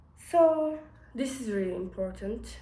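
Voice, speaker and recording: Over noticeable background noise and audible room echo, a woman with a non-native accent speaks at a fairly high pitch with ordinary pitch variation. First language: not English. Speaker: engineer and startup founder. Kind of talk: casual vlog to camera. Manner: halting, many fillers and restarts.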